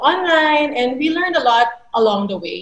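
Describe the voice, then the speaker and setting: A woman speaks at a moderate pace with a high pitch and lively intonation. Audible room echo fills the recording. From Philippines. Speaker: feminist activist; webinar panelist. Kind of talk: webinar panel discussion. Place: home room. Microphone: webcam.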